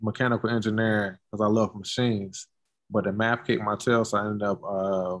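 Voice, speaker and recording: Speaking with an American accent at a fairly quick pace, a man keeps a fairly low pitch and a monotone, flat intonation. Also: quiet background. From Durham, North Carolina; North Carolina. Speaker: sculptor, curator and art professor; art professor. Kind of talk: casual interview. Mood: relaxed, friendly. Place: workshop. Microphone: video call.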